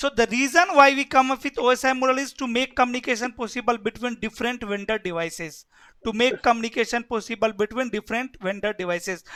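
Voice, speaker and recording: A man with an Indian accent, extremely high pitched for a man, with a raised, projected voice and a bright, sharp tone, at a very fast pace with ordinary pitch variation, in a dry, close sound with no echo. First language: Hindi. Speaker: networking instructor. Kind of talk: lecture.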